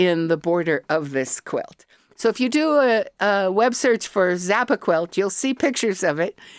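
A woman with an American accent and an unremarkable speaking voice uses lively intonation at medium pitch, her loudness very even, on a very clean recording with a silent background and a dry, close sound with no echo. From US, Colorado. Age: 60s. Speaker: artist and academic. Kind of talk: casual interview.

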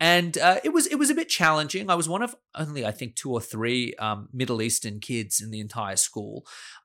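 A man with an Australian accent, a bright, sharp tone, lively intonation and hardly any pauses, on a very clean recording with a silent background. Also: medium pitch for a man, fairly quick pace. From Sydney, Australia. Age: 30s. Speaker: criminal lawyer. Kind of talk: interview conversation. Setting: office.

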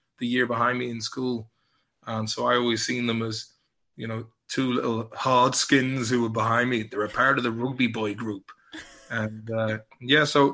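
A man speaks in a bright, sharp tone with monotone, flat intonation. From England, Liverpool. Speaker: actor and musician. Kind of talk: casual chat.

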